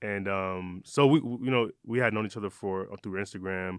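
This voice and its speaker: An unremarkable speaking voice from a man with an American accent, fairly low in pitch, fairly even in intonation and fairly quick in pace. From Michigan, Detroit. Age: 30s. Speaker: eyewear brand founder. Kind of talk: interview. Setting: studio.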